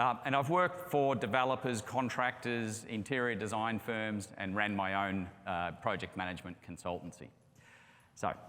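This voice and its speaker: Lively in intonation, a man with an Australian accent speaks at a moderate pace, with a medium pitch and a bright, sharp tone. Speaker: construction project management executive. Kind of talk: conference presentation. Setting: stage with audience.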